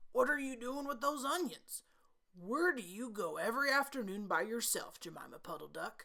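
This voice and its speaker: A female-sounding, put-on character voice with a fairly high pitch talks at a moderate pace. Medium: read story.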